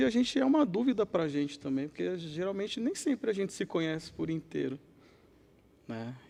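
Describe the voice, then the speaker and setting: Soft-spoken, a man talks at a moderate pace. His pitch is high and swings very widely. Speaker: podcast guest. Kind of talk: podcast interview.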